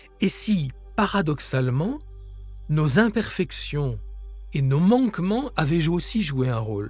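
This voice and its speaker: A man with a fairly high pitch talks very slowly in a calm tone, with very wide pitch swings. Long, frequent pauses break his speech, and music plays in the background. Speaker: author and grief-support guide. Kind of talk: guided meditation and grief-support podcast. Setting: studio recording with nature sounds and soft music. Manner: calm, slow, soft-spoken.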